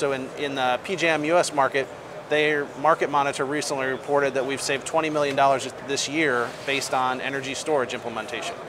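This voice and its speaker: A man with an American accent talks at a fairly quick pace and a fairly high pitch. His intonation is monotone and flat, with noticeable background noise. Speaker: energy company executive. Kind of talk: interview. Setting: studio.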